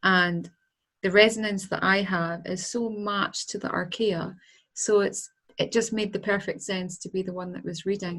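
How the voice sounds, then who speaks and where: In a strong Scottish accent, a woman speaks at a moderate pace with medium pitch and monotone, flat intonation. The recording is very clean, the background silent. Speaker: angel healer, author. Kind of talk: interview.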